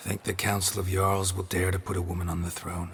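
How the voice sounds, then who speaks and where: Over clear background noise, a man puts on a raspy character voice with a very deep, low pitch, talking at a fairly quick pace in a deadpan tone with monotone, flat intonation. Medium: video game. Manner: terse, deadpan.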